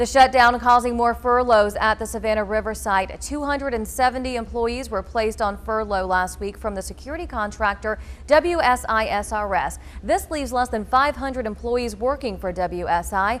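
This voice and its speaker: Music in the background behind a woman talking at a moderate pace. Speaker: TV news anchor and reporter. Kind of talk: TV news anchor read.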